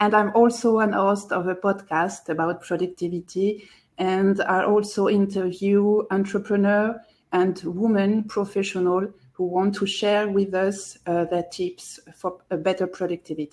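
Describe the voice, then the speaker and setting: A woman with a French accent, fairly slow and monotone with flat intonation, on a very clean recording with a silent background. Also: medium pitch for a woman. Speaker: productivity blogger and podcaster. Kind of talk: live video chat.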